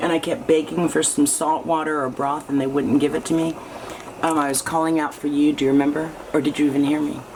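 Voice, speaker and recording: A woman's very fast speech, very deep and low in pitch, with monotone, flat intonation over noticeable background noise. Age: 60s. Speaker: artist and video diarist. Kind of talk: casual chat. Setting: kitchen.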